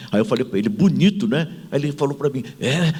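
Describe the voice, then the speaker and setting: A man talks very fast in an animated tone at a medium pitch. His pitch swings very widely. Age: 70s. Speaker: management consultant and author. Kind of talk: panel talk with anecdote. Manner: animated, humorous storytelling.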